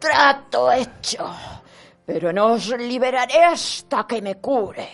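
Over music in the background, a put-on character voice sits at a fairly high pitch. The delivery comes at a fairly slow pace. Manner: menacing, demanding.

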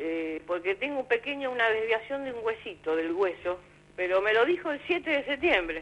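A woman talks at a moderate pace. Her fairly high pitch swings very widely. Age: 60s. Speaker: caller. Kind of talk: call-in question. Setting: phone call.

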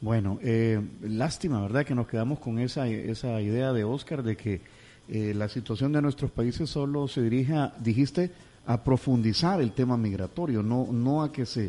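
Speaking at a moderate pace, a man has a dark, mellow tone, a medium pitch and ordinary pitch variation. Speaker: radio host. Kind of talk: radio interview.

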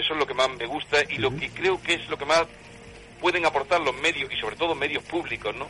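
A man's voice sits fairly high and moves very fast. Behind it there is noticeable background noise. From Andalusia, Córdoba. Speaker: TV and radio presenter. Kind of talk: radio interview.

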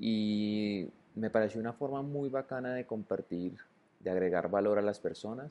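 A man speaks in an ordinary speaking voice at a moderate pace. His pitch shows ordinary variation. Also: fairly low pitch for a man. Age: 30s. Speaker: podcaster. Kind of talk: solo monologue podcast. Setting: at home on the sofa. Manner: casual, conversational.

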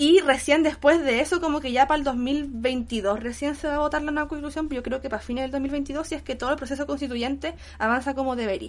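With hardly any pauses, a woman talks at a very fast pace in a high voice, her intonation fairly even. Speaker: podcast co-host. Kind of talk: casual chat. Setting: recording in her apartment.

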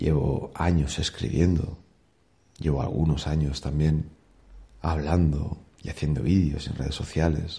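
A man with a very deep, low pitch speaks in a flat monotone at a fairly slow pace, leaving long, frequent pauses. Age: 30s. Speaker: podcaster. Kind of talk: daily monologue. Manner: casual.

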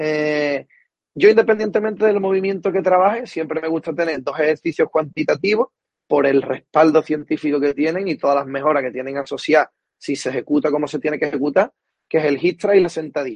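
Dry and close with no echo, a man speaks at a fairly quick pace in a normal speaking voice with ordinary pitch variation. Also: fairly high pitch for a man. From Cádiz, Andalusia, Spain. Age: 20s. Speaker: strength and conditioning coach. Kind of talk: interview.

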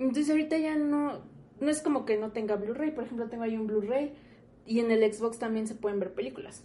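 A woman with a Mexican accent, fairly high in pitch, with ordinary pitch variation. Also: fairly quick pace. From Mexico, Morelia (Michoacán). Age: 20s. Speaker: podcast co-host. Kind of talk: casual chat.

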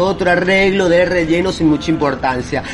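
Music plays in the background. Over it, a man with a high pitch speaks at a moderate pace. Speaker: podcast host and poetry reader. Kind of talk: poetry reading, spoken word.

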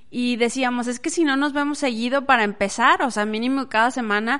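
A woman's animated voice at a fairly quick pace, with ordinary pitch variation. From Las Nieves, Durango, Mexico. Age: 30s. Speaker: podcast host. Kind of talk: interview.

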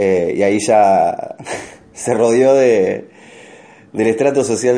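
In an Argentine accent, a man at medium pitch talks with fairly even intonation, and room echo is audible. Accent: Rioplatense Argentine Spanish. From Argentina, Rosario. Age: 30s. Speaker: stand-up comedian. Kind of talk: casual chat.

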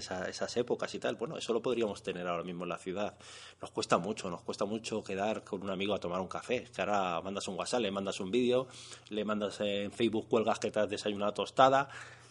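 A man's very fast, fairly even speech in a Castilian accent against a quiet background. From Castile, Spain (born in Madrid). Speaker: rural community shop organizer. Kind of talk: radio interview. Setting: on location at a shop counter.

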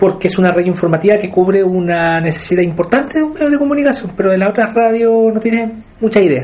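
Ordinary pitch variation runs through the speech. The pace is very fast. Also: man. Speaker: focus group moderator. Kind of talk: group discussion moderation. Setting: in-person group meeting room.

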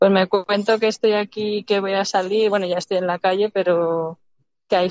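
Here is a woman with an unremarkable speaking voice. Her pitch is medium and her intonation fairly even. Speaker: caller. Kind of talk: casual chat. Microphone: connection cuts out.

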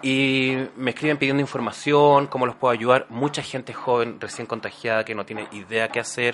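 A man's medium-pitched voice, fairly quick with hardly any pauses, flat and monotone over noticeable background noise. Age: 40s. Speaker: actor and HIV awareness YouTuber. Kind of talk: interview.

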